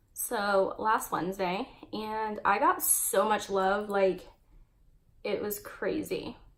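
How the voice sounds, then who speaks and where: A woman speaks at a very slow pace and a fairly high pitch. Room echo is audible. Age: 20s. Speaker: beauty vlogger. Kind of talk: makeup tutorial with casual chat. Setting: home hallway by a window.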